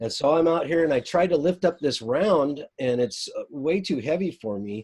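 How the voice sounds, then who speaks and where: A man speaks in a plain, everyday voice at a fairly high pitch. His intonation is lively and his pace moderate. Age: 60s. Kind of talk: casual chat.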